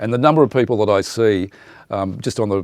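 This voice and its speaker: The speaker is a man with an Australian accent. He talks fairly quickly. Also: dry, close sound with no echo. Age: 60s. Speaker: radio presenter. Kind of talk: interview monologue. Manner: conversational, many fillers.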